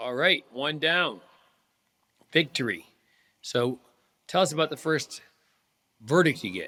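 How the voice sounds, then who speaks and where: A man talks at a fairly slow pace with long, frequent pauses, his fairly high voice bright and sharp in tone. His intonation is lively, and vocal fry comes through. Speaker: trial lawyer, podcast host. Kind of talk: podcast interview questions.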